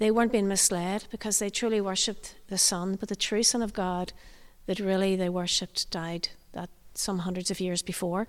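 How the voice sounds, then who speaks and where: A woman speaks with a Northern Irish accent at a medium pitch and a moderate pace. Her intonation is monotone and flat, and the recording is very clean with a silent background. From Northern Ireland. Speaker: tour guide, former barrister. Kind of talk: guided tour talk. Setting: inside a church on location.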